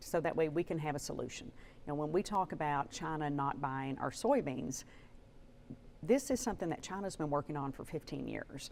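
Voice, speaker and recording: With an Arkansas accent, a woman speaks at a very deep, low pitch. Her pace is fairly quick, with ordinary pitch variation. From Arkansas, Batesville. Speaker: politician. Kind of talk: TV interview.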